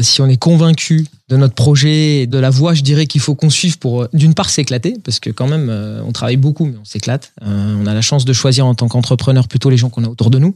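A man talks very fast in a somewhat breathy, medium-pitched voice with ordinary pitch variation and a dry, close sound with no echo. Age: 40s. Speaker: industrial company CEO. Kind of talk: interview. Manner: halting, repeats words.

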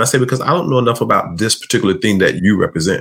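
Vocal fry is present in this man's voice. He talks with an American accent. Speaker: leadership consultant and life coach. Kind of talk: interview.

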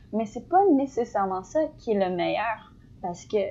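At a moderate pace, a woman speaks in a plain, everyday voice, fairly high-pitched with lively intonation. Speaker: podcast co-host, student. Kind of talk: casual chat.

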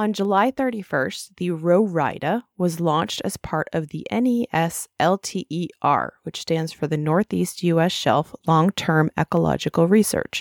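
A woman speaks in an unremarkable speaking voice, fairly low in pitch with ordinary pitch variation, at a fairly slow pace with hardly any pauses, the very clean recording dry and close with no echo and a silent background. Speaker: podcast host. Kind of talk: scripted news-style report reading. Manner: brisk, even, newsreader-like delivery.

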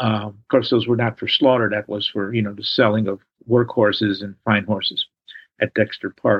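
A man speaks at a moderate pace in a fairly low, monotone voice with flat intonation and a Chicago accent. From Chicago, South Side. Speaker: historian and author. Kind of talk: interview. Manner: halting.

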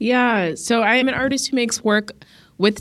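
An unremarkable speaking voice in an American accent moves at a moderate pace with ordinary pitch variation. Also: woman. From US West, Las Vegas. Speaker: artist and arts director. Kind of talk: interview.

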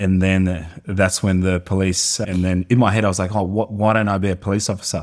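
Monotone and flat in intonation, a man with an Australian accent speaks at a fairly quick pace in a very deep, low pitch, with hardly any pauses. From Colombia. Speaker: personal trainer and fitness entrepreneur. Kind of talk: casual interview chat.

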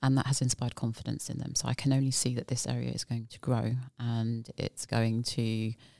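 A woman with a very deep, low voice and a dark, mellow tone speaks at a fairly quick clip in a flat monotone, the sound dry and close with no echo. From UK. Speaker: forensic investigator. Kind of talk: casual interview.

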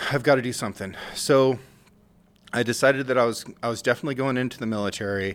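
A man with an American accent and an unremarkable speaking voice talks at a moderate pace with fairly even intonation. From rural Oregon. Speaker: war veteran. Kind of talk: casual chat.

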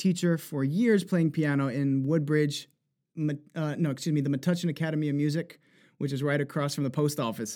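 The man's American accent comes through on a very clean recording with a silent background. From New Jersey, US. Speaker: singer and voice actor. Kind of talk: interview conversation.

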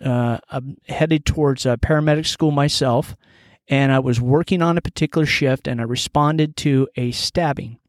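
In a very clean recording with a silent background and a dry, close sound with no echo, a man talks in an unremarkable speaking voice at a fairly high pitch with ordinary pitch variation. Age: 50s. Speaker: podcast host and commentator. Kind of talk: solo commentary monologue.

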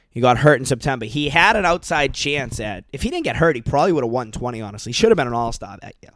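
A man with an American accent talks at a very fast pace with hardly any pauses, his medium-pitched voice carrying lively intonation. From US Northeast, Boston area. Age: 30s. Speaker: podcast host. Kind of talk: casual monologue.

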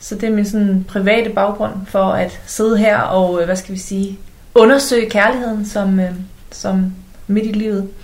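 This woman speaks at a fairly slow pace in a monotone, flat way, somewhat breathy. Audible room echo surrounds her voice. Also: medium pitch for a woman. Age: 40s. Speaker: love coach and podcaster. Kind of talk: casual chat.

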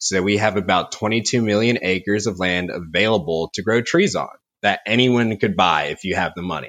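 This man has a normal speaking voice, pitched fairly low. His pitch varies in an ordinary way. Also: moderate pace, quiet background. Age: 20s. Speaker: timber procurement forester. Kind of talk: interview. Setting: remote call.

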